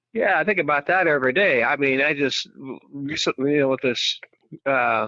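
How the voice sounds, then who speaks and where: A man with an ordinary speaking voice, fairly high-pitched, with ordinary pitch variation, very even loudness and a moderate pace. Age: 60s. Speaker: caller. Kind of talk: phone call to radio show. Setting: phone call.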